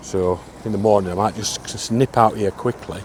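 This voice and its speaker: A man talks at a fairly quick pace in a fairly low pitch with ordinary pitch variation. Noticeable background noise sits behind him. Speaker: travel vlogger. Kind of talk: casual vlog narration. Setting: outdoors.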